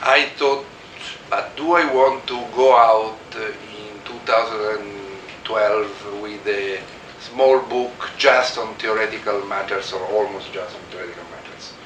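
A man's very slow speech comes through with noticeable background noise. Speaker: guest lecturer. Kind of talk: lecture. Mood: relaxed, anecdotal, laughs. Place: office. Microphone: camera far.

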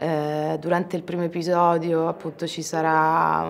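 The speech moves at a fairly slow pace. Light noise sits in the background. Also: woman. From Ostia, Rome, Italy; Italy. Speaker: actress. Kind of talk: press interview. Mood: thoughtful, calm. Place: hall.

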